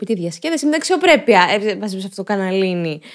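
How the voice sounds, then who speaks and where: In a very clean recording with a silent background, a woman speaks at medium pitch. Her tone is animated. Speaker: podcast host. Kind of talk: casual monologue podcast. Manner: clear articulation.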